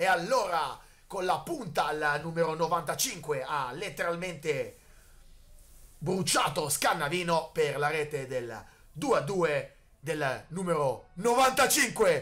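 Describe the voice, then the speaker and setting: High-pitched man's voice, bright and sharp, very slow with long, frequent pauses and lively intonation. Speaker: sports commentator. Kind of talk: live sports commentary. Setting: match commentary at a football field. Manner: excitable, shouting at goals.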